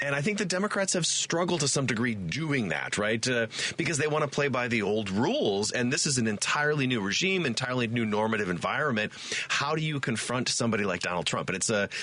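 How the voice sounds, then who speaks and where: With noticeable background noise behind him, a man talks at a very fast pace with hardly any pauses, his medium-pitched voice making very wide pitch swings while its loudness stays very even. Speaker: political science professor. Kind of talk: talk radio guest hosting.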